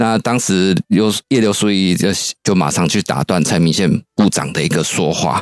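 A man with a Taiwanese accent and a very deep, low pitch. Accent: Taiwanese Mandarin. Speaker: political researcher. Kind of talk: radio interview commentary.

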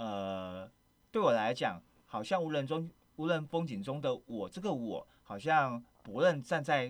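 Over a silent background on a very clean recording, a man speaks at fairly high pitch. His pitch swings very widely, and his pace is fairly slow. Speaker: radio host. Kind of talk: casual interview. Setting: studio.

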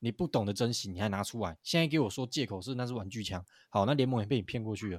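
On a very clean, dry, close recording with no echo and a silent background, a man talks very fast at a fairly low pitch with ordinary pitch variation. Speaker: basketball podcast co-host. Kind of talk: casual chat. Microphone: new microphone.

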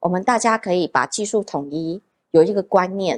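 A woman with a Taiwanese accent. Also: dry, close sound with no echo, very clean recording, silent background. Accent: Taiwanese Mandarin. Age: 30s. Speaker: nail artist and salon owner. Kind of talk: casual interview.

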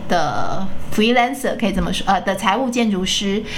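Amid audible room echo and noticeable background noise, a woman speaks at medium pitch with ordinary pitch variation. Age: 50s. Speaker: podcast host. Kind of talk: casual interview chat.

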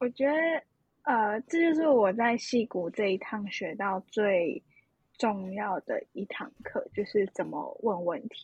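Lively intonation marks this woman's somewhat breathy voice as she talks at a very slow pace. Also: fairly high pitch for a woman. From Taiwan, Hsinchu. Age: 20s. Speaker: university student. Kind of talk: casual interview about travel.

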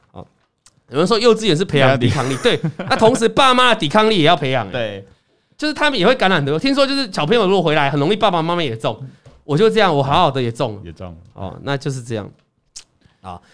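In a very clean recording with a silent background, a man with a fairly high, fry-tinged voice talks very fast with very wide pitch swings and long, frequent pauses. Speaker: investing podcast host. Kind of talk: casual chat about stock trading. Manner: animated.

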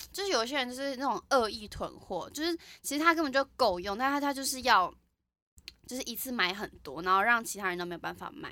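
On a very clean recording with a silent background, a woman with a slight central Taiwanese accent speaks fairly quickly in a high pitch, her tone bright and sharp, with very wide pitch swings and big swings in loudness. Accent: slight Yunlin hometown. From Taiwan, Yunlin. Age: 20s. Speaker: podcast co-host. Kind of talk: casual chat.

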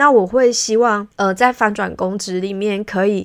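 In a very clean recording with a silent background, a woman with a Taiwanese accent speaks at a fairly slow pace. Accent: Taiwanese Mandarin. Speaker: podcast host and career consultant for civil servants. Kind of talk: solo podcast monologue. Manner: frequent filler hesitations; conversational, reflective.

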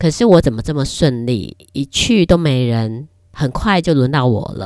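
Her pitch is very deep and low for a woman. She speaks at a fairly slow pace with lively intonation. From Taiwan. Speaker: podcast host. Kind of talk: casual monologue. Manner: hesitant, many fillers.

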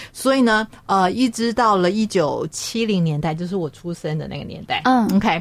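With an unremarkable speaking voice, a woman at medium pitch uses lively intonation at a moderate pace. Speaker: radio host. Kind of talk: radio talk show.

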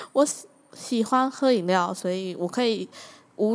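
Speaking with a Taiwanese accent, a woman uses a medium pitch, lively intonation and a fairly slow pace. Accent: Taiwanese Mandarin. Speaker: podcast host. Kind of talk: casual monologue. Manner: animated.

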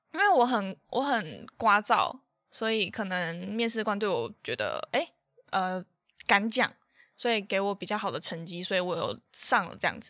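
A woman with a plain, everyday voice talks at a moderate pace and medium pitch, with ordinary pitch variation. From Taiwan. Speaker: podcast co-host, student. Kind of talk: casual chat.

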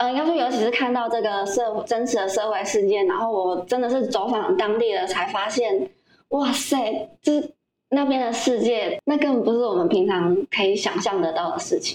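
The loudness stays very even throughout. Delivery comes at a moderate pace with lively intonation. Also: woman, fairly high pitch for a woman. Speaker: former overseas volunteer, video team member. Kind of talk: casual interview.

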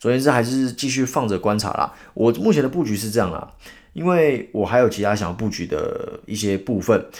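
On a very clean recording with a silent background, a man speaks at a fairly quick pace. His tone is animated, with ordinary pitch variation. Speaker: podcast host. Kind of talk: solo news commentary.

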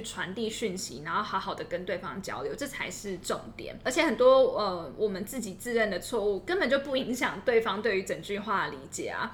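Over noticeable background noise, a woman with a fairly high pitch talks at a fairly quick pace with lively intonation and hardly any pauses. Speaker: podcast co-host. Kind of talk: casual chat.

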